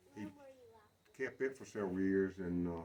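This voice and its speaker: A man speaks in a North Carolina accent over noticeable background noise. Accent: Southern US (North Carolina). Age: 70s. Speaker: retired farm-raised local recalling childhood. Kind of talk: oral history interview. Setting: outdoors at a barn. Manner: halting, with many fillers.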